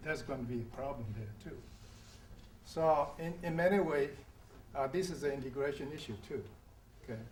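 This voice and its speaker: Somewhat breathy and fairly high-pitched, a man talks at a fairly quick pace with ordinary pitch variation and long, frequent pauses, in audible room echo. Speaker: audience member. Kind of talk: panel discussion. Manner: hesitant.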